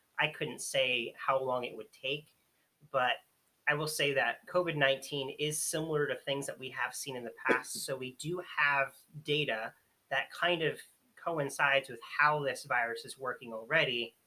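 At a moderate pace, a man with an ordinary speaking voice talks at a fairly high pitch, his intonation fairly even but his loudness swinging a lot. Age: 20s. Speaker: escape room host. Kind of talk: casual chat.

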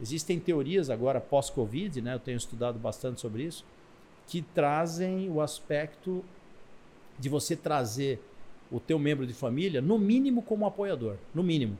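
At a moderate pace, a man speaks with lively intonation in a fairly high pitch, his tone dark and mellow and somewhat breathy. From Brazil, Italian family. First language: Italian (speaking Portuguese). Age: middle-aged. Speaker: business mentor and entrepreneur. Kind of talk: interview.

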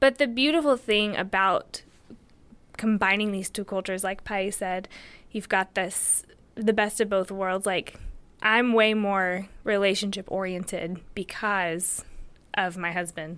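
Against a silent background in a very clean recording, a woman with an American accent uses a normal speaking voice, medium in pitch with ordinary pitch variation, at a fairly slow pace. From United States. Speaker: teacher. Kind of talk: interview conversation.

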